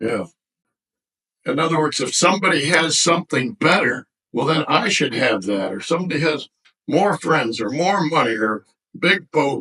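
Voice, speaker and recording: Speaking at a moderate pace with long, frequent pauses, a man with a fairly high pitch has a bright, sharp tone, lively intonation and vocal fry. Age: 80s+. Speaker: elderly storyteller sharing life wisdom. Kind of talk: casual interview. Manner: halting.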